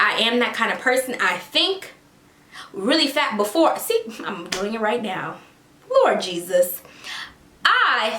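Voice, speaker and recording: Noticeable background noise and audible room echo surround a woman who speaks in a raised, projected voice at a fairly slow pace. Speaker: celebrity gossip YouTuber. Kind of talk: casual commentary vlog. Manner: animated.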